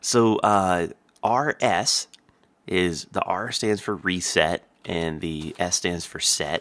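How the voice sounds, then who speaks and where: Ordinary pitch variation runs through speech delivered at a very slow pace. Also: man, very deep, low pitch for a man. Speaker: gaming video creator. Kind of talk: tutorial. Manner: casual, with fillers.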